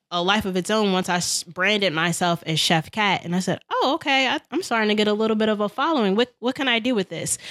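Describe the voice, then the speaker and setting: A woman with an American accent speaks at a fairly quick pace, with hardly any pauses, in an unremarkable speaking voice. Her pitch is medium with ordinary variation, and the sound is dry and close with no echo. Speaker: chef and entrepreneur. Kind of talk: casual podcast interview.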